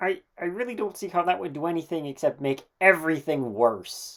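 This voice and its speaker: This is a cartoonish character voice. It sits at a middle pitch. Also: moderate pace. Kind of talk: educational explanation. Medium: puppet.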